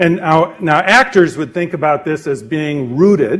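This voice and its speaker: A man with an unremarkable speaking voice talks at a fairly slow pace, his pitch fairly high with ordinary pitch variation. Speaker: presenter on communication skills. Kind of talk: lecture. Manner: lively.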